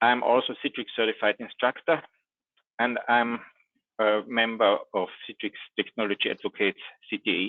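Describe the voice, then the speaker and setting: Against a quiet background, a man with an Austrian accent speaks at a moderate pace, taking long, frequent pauses. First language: German. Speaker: IT trainer and consultant; IT trainer. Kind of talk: technical presentation. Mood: friendly, lightly humorous. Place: home room.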